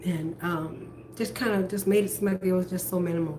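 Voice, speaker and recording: A woman speaks in an animated tone at a moderate pace, with noticeable background noise and audible room echo. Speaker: vlogger. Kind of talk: personal vlog monologue. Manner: loud.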